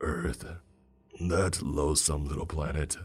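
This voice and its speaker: A man's raspy, very deep and low put-on character voice at a fairly slow pace. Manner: unsettling, menacing.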